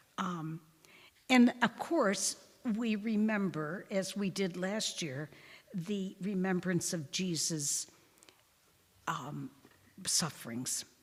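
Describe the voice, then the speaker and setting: A woman speaks at a very slow pace with lively intonation and long, frequent pauses. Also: medium pitch for a woman. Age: 90s. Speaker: religious sister giving a Lenten talk. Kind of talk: parish talk with audience discussion. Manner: halting, with fillers and restarts.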